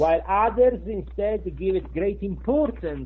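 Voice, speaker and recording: A man with a strong Sicilian accent at a fairly slow pace. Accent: thick Sicilian. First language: Italian. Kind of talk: interview answer. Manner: hesitant, many filler sounds.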